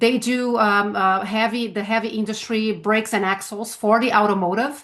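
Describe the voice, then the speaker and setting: Against a quiet background, a woman with a Brazilian Portuguese accent talks at a moderate pace and fairly high pitch, with fairly even intonation. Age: 50s. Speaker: sales trainer. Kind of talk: interview. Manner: halting, frequent fillers.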